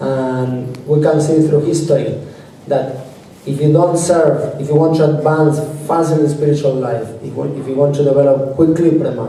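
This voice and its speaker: Amid noticeable background noise and audible room echo, a man with a fairly high pitch speaks in a monotone, flat intonation at a moderate pace. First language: not English. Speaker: devotional speaker. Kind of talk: religious talk. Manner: halting.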